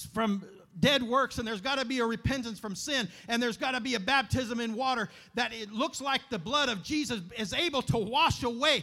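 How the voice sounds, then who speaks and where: Raising and projecting his voice, a man speaks at a fairly quick pace in an extremely high pitch with a bright, sharp tone and ordinary pitch variation. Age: 40s. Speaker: preacher. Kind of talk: sermon. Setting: church.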